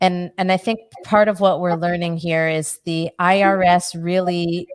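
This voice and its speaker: In an American accent, a woman with an ordinary speaking voice talks at a fairly slow pace and medium pitch. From Los Angeles. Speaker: webinar host. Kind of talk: webinar.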